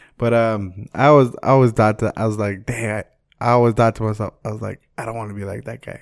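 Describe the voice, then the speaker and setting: Delivered in a flat monotone at a fairly quick pace, the voice swings widely in loudness, with a dry, close sound, no echo and a silent background on a very clean recording. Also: man, medium pitch for a man. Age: 20s. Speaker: podcast co-host. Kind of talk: casual chat.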